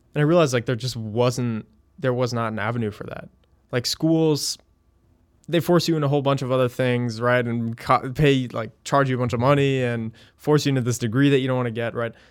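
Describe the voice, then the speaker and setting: In a very clean recording with a silent background, a man with a normal speaking voice talks at a medium pitch and fairly quick pace, keeping his intonation fairly even. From Connecticut, US East Coast (also moved around abroad). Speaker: startup founder and CEO. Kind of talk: casual interview.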